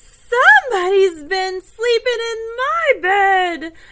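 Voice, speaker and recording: Putting on a character voice, a woman speaks at a very slow pace and an extremely high pitch. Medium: read story.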